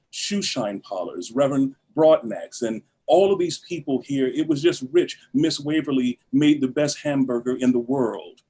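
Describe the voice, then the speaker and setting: A man with an American accent and a fairly high, dark, mellow voice speaks fairly slowly with hardly any pauses and ordinary pitch variation. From Los Angeles, US West Coast. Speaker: actor and theatre founder. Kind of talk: interview.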